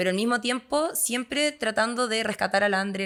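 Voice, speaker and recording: The recording is very clean against a silent background. In it, a woman talks at a moderate pace. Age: 30s. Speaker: yoga instructor and agronomist. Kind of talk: podcast interview.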